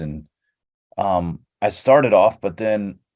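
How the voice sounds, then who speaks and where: A man speaks over a quiet background. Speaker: radio host and voiceover artist. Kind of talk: casual podcast conversation.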